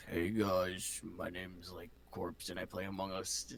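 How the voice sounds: A man's put-on character voice, very deep and low, at a moderate pace with clear background noise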